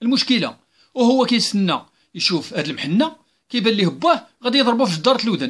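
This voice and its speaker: In a Moroccan accent, a man talks at a moderate pace with a high pitch and very wide pitch swings. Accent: Moroccan Arabic (Darija). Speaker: civil servant. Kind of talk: open letter monologue. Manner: hesitant with fillers.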